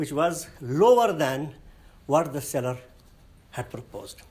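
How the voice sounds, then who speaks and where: With a Nepali accent and lively intonation, a man speaks at a very slow pace amid audible room echo. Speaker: lecturer. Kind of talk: lecture. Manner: halting.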